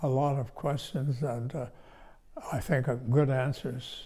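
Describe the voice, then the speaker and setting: Against a quiet background, a man with a dark, mellow tone and a somewhat breathy voice speaks at a fairly slow pace with ordinary pitch variation. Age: 80s+. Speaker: retirement home resident. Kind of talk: interview answer. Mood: warm, appreciative. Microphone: lapel.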